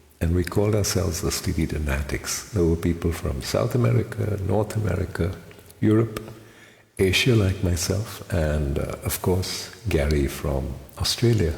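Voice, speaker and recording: Over noticeable background noise, a man with a very deep, low pitch talks at a moderate pace with lively intonation. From India, Mumbai. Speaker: amateur singer. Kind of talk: personal reminiscence monologue.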